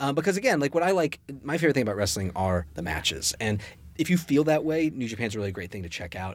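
With an American accent, a man talks at a very fast pace in a medium pitch, using very wide pitch swings and vocal fry. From US South, Richmond, Virginia. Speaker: comic book writer. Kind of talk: casual chat.

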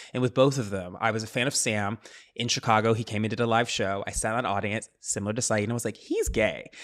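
Very clean and silent in the background, the recording has a man with an American accent speaking very fast at a medium pitch in a monotone, flat intonation. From US Midwest. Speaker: journalist and podcast co-host. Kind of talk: casual chat.

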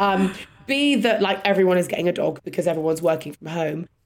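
A woman with a London accent speaks at a medium pitch with ordinary pitch variation. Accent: British, London. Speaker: podcast host. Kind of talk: casual chat.

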